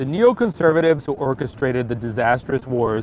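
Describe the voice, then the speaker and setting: This is a normal speaking voice. Its intonation is lively. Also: man. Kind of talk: dramatic reading of a political essay.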